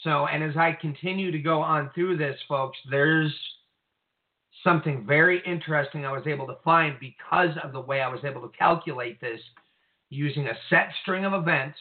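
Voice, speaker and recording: A man's unremarkable speaking voice, fairly high in pitch, with fairly even intonation and a moderate pace. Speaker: co-host / call-in commentator on prophecy. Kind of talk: casual discussion of Bible prophecy. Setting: phone or online call with technical trouble.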